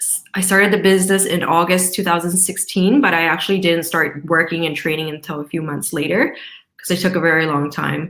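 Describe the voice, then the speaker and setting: A woman talks at a fairly quick pace in a plain, everyday voice. Her pitch is fairly low, her intonation fairly even, and her loudness swings widely. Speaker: network marketing distributor. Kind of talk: video call Q&A.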